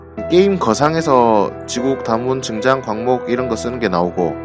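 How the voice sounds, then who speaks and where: Music plays in the background as the speaker talks in a Busan accent. The pitch swings are very wide. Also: man. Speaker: movie review YouTuber. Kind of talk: movie review narration.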